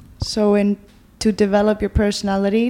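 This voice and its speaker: A woman's medium-pitched voice, dark and mellow in tone, with an Icelandic accent. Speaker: podcast host. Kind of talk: interview.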